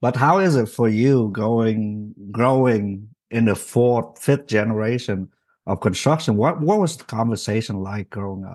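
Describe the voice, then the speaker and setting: A man with a Vietnamese accent, medium-pitched, at a fairly slow pace, with ordinary pitch variation, big swings in loudness, and music in the background. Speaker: podcast host. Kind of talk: casual interview chat. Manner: halting, filler-heavy.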